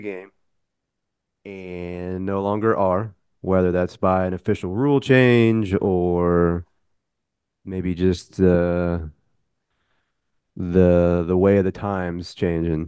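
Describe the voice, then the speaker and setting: A man talks with a very deep, low pitch and a dark, mellow tone. He leaves long, frequent pauses. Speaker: podcast co-host. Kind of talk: casual chat.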